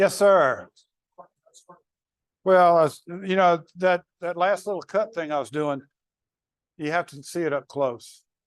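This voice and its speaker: Speaking at a fairly slow pace with long, frequent pauses, a man with a Southern US accent uses a high pitch and ordinary pitch variation. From North Carolina. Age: 70s. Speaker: woodturning demonstrator. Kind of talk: live demonstration. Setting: club meeting with audience. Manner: halting.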